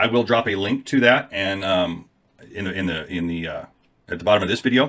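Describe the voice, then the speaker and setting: Using a put-on character voice, a man talks at a fairly quick pace in a raspy, fairly low voice with ordinary pitch variation. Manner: hesitant, halting.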